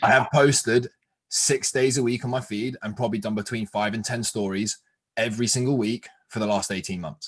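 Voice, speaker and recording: In an English accent, a man talks in an animated tone at a fairly quick pace, with medium pitch and ordinary pitch variation. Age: 20s. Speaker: fitness coach and podcast host. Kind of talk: casual interview chat.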